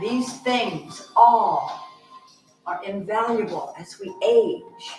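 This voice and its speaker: With music in the background, a woman speaks in a gentle, calm tone. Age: 70s. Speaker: yoga instructor. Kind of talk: guided yoga class instruction. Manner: gentle, calm, encouraging.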